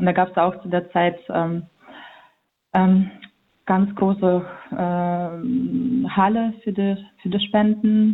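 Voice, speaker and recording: A woman speaks at a very slow pace with long, frequent pauses. Her intonation stays fairly even. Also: medium pitch for a woman. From central Ukraine (Vinnytsia). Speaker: volunteer aid organizer. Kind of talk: phone interview. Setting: phone call. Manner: halting, many fillers.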